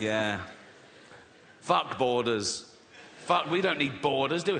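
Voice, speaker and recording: Speaking fairly slowly with an English accent, a man uses lively intonation against noticeable background noise. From England. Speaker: stand-up comedian. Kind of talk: stand-up comedy performance. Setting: live stage with audience.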